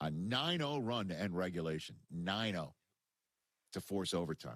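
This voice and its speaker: Recorded dry and close with no echo, a man with an American accent speaks with very wide pitch swings. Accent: New York accent, slight, slips out. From New York. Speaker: sports radio host. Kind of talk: sports talk radio. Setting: radio studio.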